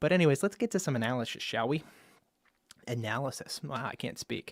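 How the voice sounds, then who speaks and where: Someone talks at a very fast pace. The sound is dry and close, with no echo. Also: man. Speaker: Pokemon league analyst. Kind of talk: casual commentary video. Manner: stumbles over words; animated.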